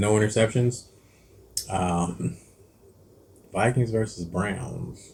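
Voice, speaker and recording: Somewhat breathy and fairly low-pitched, a man talks with long, frequent pauses. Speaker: cooking and sports channel host. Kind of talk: casual sports picks chat. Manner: halting, stumbling over words.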